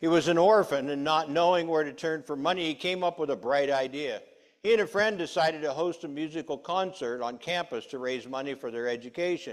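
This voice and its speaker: A man at a fairly quick pace with hardly any pauses and ordinary pitch variation, over a quiet background. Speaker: preacher. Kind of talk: sermon. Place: church.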